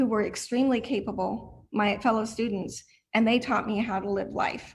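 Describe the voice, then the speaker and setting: Speaking at a moderate pace with ordinary pitch variation, this is an ordinary speaking voice. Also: woman. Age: 50s. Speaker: blind student, client of a training center. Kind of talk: testimony. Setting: video call.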